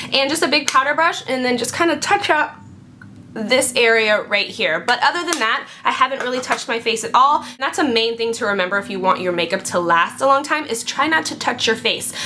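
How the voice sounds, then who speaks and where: A woman talks fairly quickly in a high voice with very wide pitch swings over noticeable background noise. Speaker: beauty vlogger. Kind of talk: product review vlog. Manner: fast; animated.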